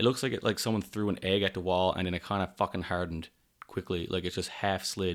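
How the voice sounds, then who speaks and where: Speaking very fast, a man has a Newfoundland accent. His pitch is very deep and low, and his intonation fairly even. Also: very clean recording, silent background. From Newfoundland, Canada. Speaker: podcast host, electrician. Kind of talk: casual monologue. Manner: rambling, off the cuff.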